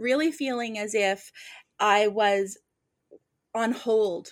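On a very clean recording with a silent background, a woman with an ordinary speaking voice talks at a fairly high pitch with ordinary pitch variation. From Nova Scotia, Canada. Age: 40s. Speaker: medium and author. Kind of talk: casual interview chat.

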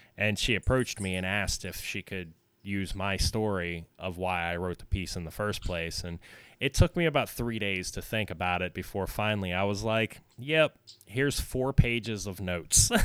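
Recorded very cleanly against a silent background, a man speaks in an ordinary speaking voice at a fairly low pitch, with ordinary pitch variation and a moderate pace. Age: 30s. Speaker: musician and podcaster. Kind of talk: casual chat.

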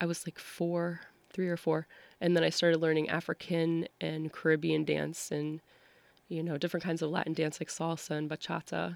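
A woman speaks at a fairly quick pace with an American accent, her pitch very deep and low. The recording is very clean with a silent background, and the sound is dry and close with no echo. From Massachusetts, US. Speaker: dancer and performer. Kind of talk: interview conversation.

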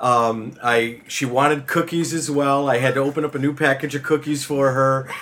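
A man speaks at a moderate pace with hardly any pauses, his pitch fairly high and his intonation monotone and flat. Noticeable background noise sits behind him. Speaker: guest co-host of a gaming podcast. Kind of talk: casual chat.

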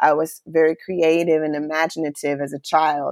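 At a moderate pace, a woman with an unremarkable speaking voice speaks at a fairly low pitch, the sound dry and close with no echo. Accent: American. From Charlotte, North Carolina, US. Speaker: former TV journalist. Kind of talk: interview.

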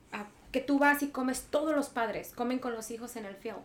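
Noticeable background noise sits behind the recording. Over it, a woman talks. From Mexico, Michoacán. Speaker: podcast guest. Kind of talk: casual chat.

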